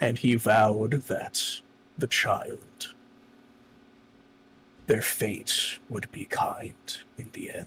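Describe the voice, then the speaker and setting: Someone speaks in a put-on character voice. The pace is very slow. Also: man. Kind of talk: grave fantasy storytelling. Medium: virtual streamer. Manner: measured, solemn.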